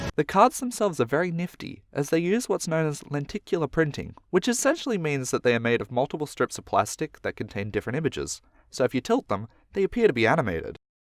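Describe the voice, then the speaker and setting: Talking at a very fast pace, a man with an Australian accent has a fairly high pitch and very wide pitch swings, heard in a dry, close sound with no echo on a very clean recording with a silent background. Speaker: YouTuber. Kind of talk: scripted narration.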